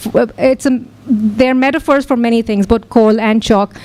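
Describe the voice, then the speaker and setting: Noticeable background noise behind a woman's high voice, moving at a moderate pace. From Pakistan. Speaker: poet. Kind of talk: casual talk to audience.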